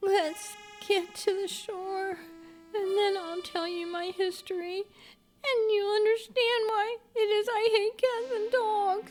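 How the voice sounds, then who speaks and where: An extremely high, shaky put-on character voice. It moves at a fairly slow pace. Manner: pale with emotion, solemn.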